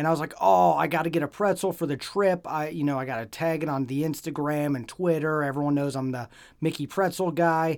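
A man talks in an ordinary speaking voice at a fairly quick pace. His pitch is fairly high, with ordinary pitch variation. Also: hardly any pauses, very clean recording, silent background. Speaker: podcast host. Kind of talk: casual chat.

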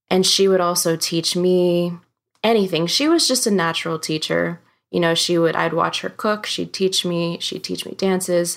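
In an American accent, a woman with an unremarkable speaking voice talks at a moderate pace with a fairly low pitch and fairly even intonation, on a very clean recording with a silent background. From US, Filipino family from Cebu. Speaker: singer-songwriter and music teacher. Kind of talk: interview conversation.

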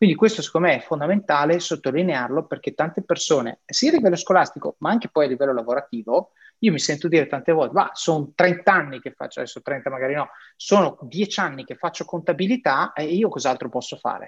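A man with a Venetian accent talks at a very fast pace with a fairly high pitch and lively intonation, the sound dry and close with no echo. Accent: northeastern Italian (Veneto). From northeastern Italy (Triveneto). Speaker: podcast host. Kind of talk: interview.

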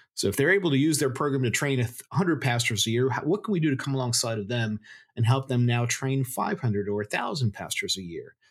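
Somewhat breathy, the speaker goes at a very fast pace with lively intonation. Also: man, medium pitch for a man. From Florida, US, Cuban immigrant family. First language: Spanish. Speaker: seminary professor. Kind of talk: interview.

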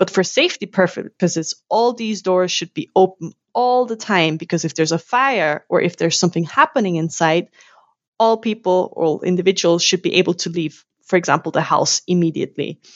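With a German accent, a woman talks at a fairly quick pace in a medium pitch. Her intonation is lively. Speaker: university lecturer. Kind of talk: interview.

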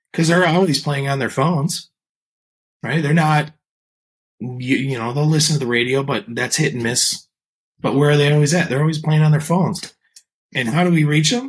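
The voice is somewhat breathy, with ordinary pitch variation at a moderate pace. Long pauses come often. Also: man. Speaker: podcast host. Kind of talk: interview conversation.

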